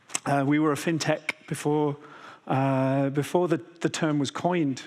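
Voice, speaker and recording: The speaker has a British accent. The pitch shows ordinary variation. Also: man. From Britain. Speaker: enterprise architect. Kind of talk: conference keynote.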